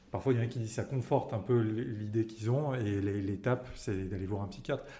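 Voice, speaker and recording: A man's somewhat breathy voice with a dark, mellow tone, medium pitch, ordinary pitch variation and a fairly quick pace. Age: 20s. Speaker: person sharing lived experience of OCD. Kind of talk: testimony. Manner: halting, frequent word repetitions.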